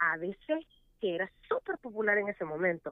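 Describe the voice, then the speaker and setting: Her fairly high pitch swinging very widely, a woman speaks at a moderate pace. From El Salvador. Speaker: radio host. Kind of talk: casual chat.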